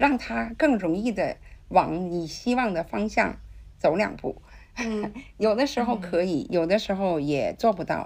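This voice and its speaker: Very wide pitch swings and vocal fry mark this woman's medium-pitched voice. She speaks at a fairly slow pace against a quiet background. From China, Tianjin. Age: 60s. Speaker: interpreter. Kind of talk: interview.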